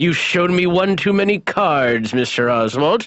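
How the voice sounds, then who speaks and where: Putting on a character voice, a man talks at a moderate pace in a high pitch. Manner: triumphant, maniacal, sneering.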